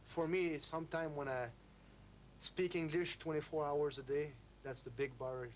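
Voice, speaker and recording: A fairly high-pitched man with a French accent. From France. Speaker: ice hockey player. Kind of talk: documentary interview. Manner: halting.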